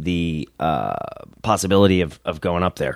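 A man's very deep, low voice with a northeastern US accent at a moderate pace, dry and close with no echo, on a very clean recording against a silent background. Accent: northeastern US, remarked on. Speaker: wrestler. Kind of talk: casual chat.

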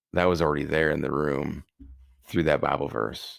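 A man with an American accent and vocal fry, on a very clean recording with a silent background. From Wisconsin, US Midwest. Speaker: Paralympic athlete and speaker. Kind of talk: interview testimony. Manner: animated.

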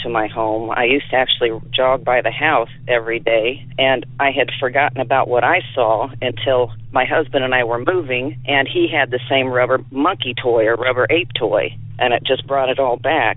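With an American accent, a man talks in an ordinary speaking voice at medium pitch and a moderate pace, with fairly even intonation, very even loudness and hardly any pauses. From south central Illinois. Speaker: caller. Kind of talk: recorded voicemail story.

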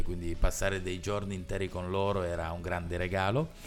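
Here a man speaks with a very deep, low pitch. Audible room echo and background music surround him. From Turin, Italy. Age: 30s. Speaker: local politician. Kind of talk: podcast interview.

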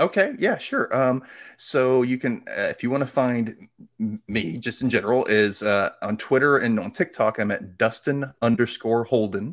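On a very clean recording with a silent background, a man with an American accent speaks at a medium pitch with lively intonation. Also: moderate pace. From Mississippi, US South. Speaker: podcaster guest. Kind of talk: casual interview chat.

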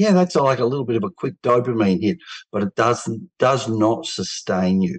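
Lively in intonation, a man with an Australian accent speaks at medium pitch and a moderate pace. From Australia, Melbourne. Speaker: men's health advocate, cancer survivor. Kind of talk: interview.

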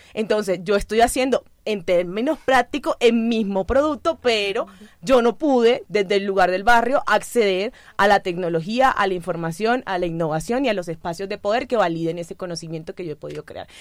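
A woman's unremarkable speaking voice at a medium pitch, fairly quick in pace, with lively intonation and big swings in loudness. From Colombian Caribbean coast, Santa Marta. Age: 20s. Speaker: social communicator and natural cosmetics entrepreneur. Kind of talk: radio panel conversation. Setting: radio studio.

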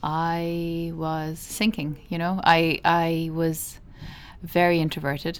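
A woman with a Cork accent speaks in a fairly low, monotone voice with flat intonation. Her pace is very slow, and the recording is very clean with a silent background. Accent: Cork Irish. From Ireland, Midleton, County Cork. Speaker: animation film director. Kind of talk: interview. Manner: halting.

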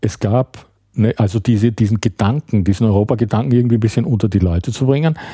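A man speaks very fast at a medium pitch, with a dark, mellow, somewhat breathy tone. His loudness stays very even and his pitch varies in an ordinary way. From Austria, Graz (Styria). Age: 50s. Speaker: writer. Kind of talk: casual chat. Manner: halting.

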